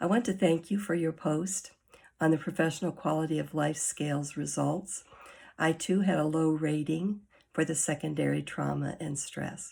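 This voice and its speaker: Recorded very cleanly against a silent background, a woman speaks at a very deep, low pitch with ordinary pitch variation and vocal fry. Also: moderate pace. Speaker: graduate student. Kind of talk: recorded discussion reply.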